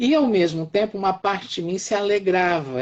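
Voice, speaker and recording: Here a man is speaking. His pace is fairly slow. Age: 60s. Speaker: professor. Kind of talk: live-stream discussion. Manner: halting, repeats words.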